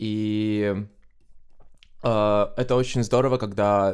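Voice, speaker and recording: A man speaks in a fairly low, flat monotone on a very clean recording with a silent background. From Estonia, Tallinn. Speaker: Eurovision fan guest. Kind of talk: podcast interview.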